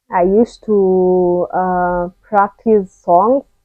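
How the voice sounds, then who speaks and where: In a Kenyan accent, a woman speaks at medium pitch with ordinary pitch variation. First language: Kikuyu. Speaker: vlogger. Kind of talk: personal testimony. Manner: casual, halting.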